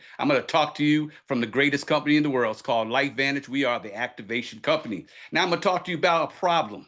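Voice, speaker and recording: Over a quiet background, a man talks at a very fast pace. His pitch is fairly high, with ordinary variation. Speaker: doctor of ministry, health presenter. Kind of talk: sales presentation. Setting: video call. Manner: energetic.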